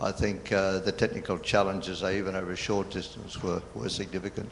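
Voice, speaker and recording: Here a man talks with an Australian accent at a fairly quick pace. His pitch is very deep and low, and his intonation fairly even. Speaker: conference audience member. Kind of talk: Q&A comment.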